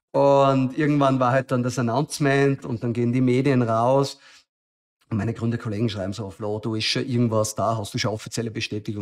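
A man's medium-pitched voice at a fairly quick pace, with ordinary pitch variation and a quiet background. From Lower Austria, rural farm. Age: 40s. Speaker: tech startup founder; podcast guest. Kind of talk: interview conversation. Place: studio. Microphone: studio mic.

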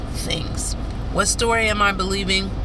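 A woman talks at a fairly slow pace over noticeable background noise. The sound is dry, with no echo. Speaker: life coach and minister. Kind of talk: motivational faith-based talk. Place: car. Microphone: phone near.

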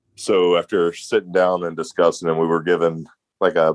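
In a dry, close sound with no echo, a man talks at a medium tempo. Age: 30s. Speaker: patient sharing his story, former construction worker. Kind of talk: interview testimony.

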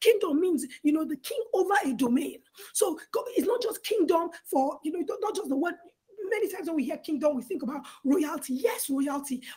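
A woman with an extremely high pitch and a dark, mellow tone talks at a fairly quick pace with lively intonation. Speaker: prayer teacher leading online prayer. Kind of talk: fervent prayer and Bible teaching, alternating between instruction and praying aloud. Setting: online video/call with audience. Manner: earnest, pleading, emphatic with repetition; teacherly, explanatory.

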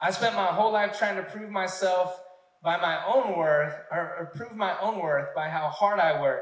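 In an American accent, a man talks at a fairly slow pace with a high pitch and ordinary pitch variation. The background is quiet, though audible room echo is present. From Texas, Odessa. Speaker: church minister. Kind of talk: testimony. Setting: church. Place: stage.

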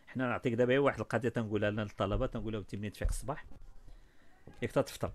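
Talking at a very fast pace, a man speaks with a Moroccan accent. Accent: Moroccan Darija. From Morocco. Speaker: study skills coach and author; study skills coach. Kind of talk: online workshop talk. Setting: video call. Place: office. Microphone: studio mic.

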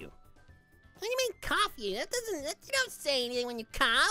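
Someone uses a put-on character voice, high in pitch with very wide pitch swings, at a moderate pace while faint music plays in the background. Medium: role play. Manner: cheerful, upbeat.

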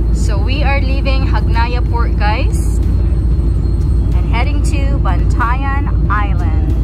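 Music plays in the background as a woman speaks at a very slow pace, the sound dry with no echo. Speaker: travel vlogger. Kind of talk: casual vlog chat. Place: boat. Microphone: phone near.

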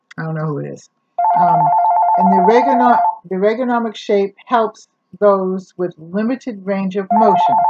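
A woman at a moderate pace, with long, frequent pauses amid loud background noise. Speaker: YouTuber reviewing products. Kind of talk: casual product review vlog. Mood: relaxed, chatty, humorous. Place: kitchen. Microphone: webcam.

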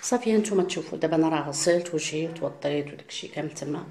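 A woman's fairly low voice at a fairly quick pace, over light background noise. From Morocco. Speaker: home vlogger. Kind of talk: vlog narration. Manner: halting. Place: home room. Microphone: phone near.

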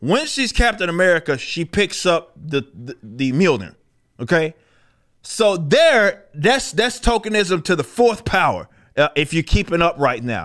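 A man speaks at a fairly slow pace with a bright, sharp tone. His pitch swings very widely over a quiet background. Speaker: comic commentary streamer. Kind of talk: commentary. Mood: critical, mocking, exasperated. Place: studio. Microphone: studio mic.

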